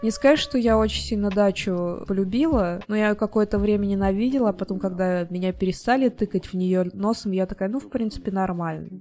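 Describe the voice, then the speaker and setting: A woman talks at a fairly quick pace with hardly any pauses, her pitch medium. Her tone is dark and mellow, with ordinary pitch variation. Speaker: podcast co-host. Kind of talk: casual chat.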